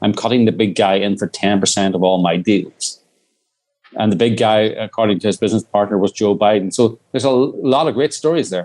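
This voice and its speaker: With an Irish accent, a man speaks at a fairly quick pace and a medium pitch. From Northern Ireland. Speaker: documentary filmmaker. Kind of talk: interview.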